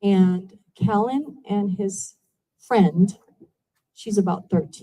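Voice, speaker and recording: This woman's voice has a dark, mellow tone. It sounds somewhat breathy. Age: 60s. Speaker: resident speaking at public comment. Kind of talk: public comment at town hall. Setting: town hall meeting. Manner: emotional, pleading.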